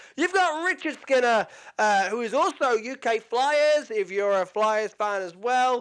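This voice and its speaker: Against a quiet background, someone with a British accent talks at a fairly slow pace with lively intonation. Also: man, extremely high pitch for a man. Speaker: podcast host. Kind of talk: casual sports podcast chat. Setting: podcast, video. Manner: animated.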